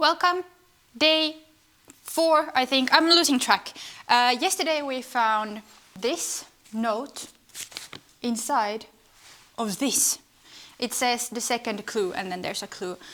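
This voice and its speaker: A woman with a non-native accent, high pitch and lively intonation, at a very slow pace with long, frequent pauses. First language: not English. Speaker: home renovation vlogger. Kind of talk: casual vlog narration. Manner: casual, chatty.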